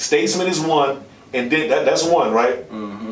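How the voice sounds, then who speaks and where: Over noticeable background noise and audible room echo, a man with a fairly high pitch speaks with very wide pitch swings. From Washington DC, Southeast/uptown. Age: 30s. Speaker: podcast host. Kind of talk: casual chat.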